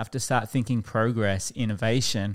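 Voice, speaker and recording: Recorded very cleanly against a silent background, a man with an Australian accent talks at a moderate pace and medium pitch, his intonation fairly even and the sound dry and close with no echo. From Queensland, Australia (Toowoomba, Warwick). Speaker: pastor. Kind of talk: casual chat.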